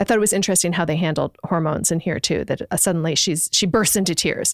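With a normal speaking voice, a woman talks at a fairly low pitch and with fairly even intonation, the sound dry and close with no echo. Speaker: book club friend. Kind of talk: casual chat.

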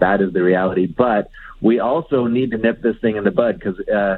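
With a Canadian accent, a man of medium pitch speaks at a fairly quick pace. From Canada, Alberta (Edmonton). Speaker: author and journalist. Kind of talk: interview. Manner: casual, halting with fillers.

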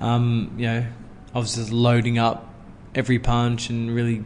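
This man talks at a moderate pace with an Australian accent. His pitch sits in the medium range. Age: 30s. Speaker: former boxing world champion. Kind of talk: casual interview.

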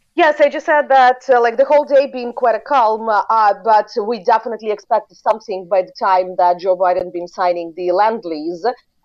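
Speaking with a Ukrainian accent, a woman talks at a fairly quick pace with hardly any pauses, a fairly high pitch and lively intonation. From Ukraine. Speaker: foreign policy expert. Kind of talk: interview. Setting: remote call.

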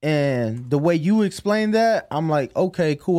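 On a very clean recording with a silent background, a man with a fairly high pitch and lively intonation uses a normal speaking voice. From US Midwest (Chicago). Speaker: boxing podcast co-host. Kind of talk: casual chat.

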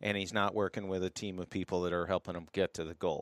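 Recorded very cleanly against a silent background, with a dry, close sound and no echo, a man speaks in an ordinary speaking voice, fairly low in pitch, with fairly even intonation. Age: 50s. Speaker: masters fitness athlete. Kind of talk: casual chat.

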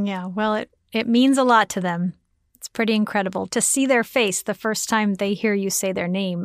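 A woman with a plain, everyday voice speaks at a moderate pace and a fairly high pitch, her pitch varying in an ordinary way, in a very clean recording with a silent background and a dry, close sound with no echo. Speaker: podcast host. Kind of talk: casual chat and interview. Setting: studio.

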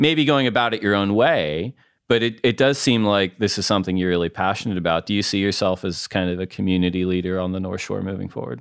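A man with a fairly low pitch and ordinary pitch variation talks at a very fast pace. He takes hardly any pauses on a very clean recording with a silent background. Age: 30s. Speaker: podcast host. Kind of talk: casual interview.

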